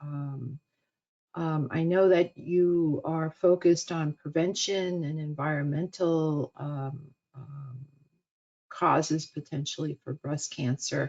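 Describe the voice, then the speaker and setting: At a very slow pace, a woman with a very deep, low pitch and a New York accent speaks with fairly even intonation and big swings in loudness. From US Northeast (Queens, New York City). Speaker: cancer researcher and professor. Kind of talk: webinar lecture. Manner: halting, many fillers.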